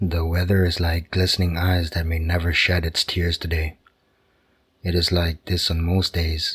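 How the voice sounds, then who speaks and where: A man speaks in a very deep, low voice with a gentle, calm tone. His intonation is monotone and flat, and his loudness stays very even. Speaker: sleep story narrator. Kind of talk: bedtime story narration. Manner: slow, calm, soothing; gentle, soft-spoken, even.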